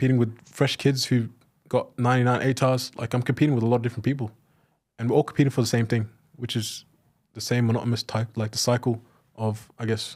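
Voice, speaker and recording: Delivered with an Australian accent at a very fast pace, the speech has a monotone, flat intonation. The recording is very clean, with a silent background. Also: man, medium pitch for a man. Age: 20s. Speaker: former trades assistant turned remote salesperson. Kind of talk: interview.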